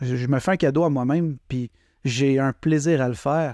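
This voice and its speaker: The sound is dry and close, with no echo. A speaker with a Quebec accent and a dark, mellow tone talks at a fairly slow pace with fairly even intonation. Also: man. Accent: Québécois. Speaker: poet and podcaster. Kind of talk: casual chat. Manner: spontaneous, improvised.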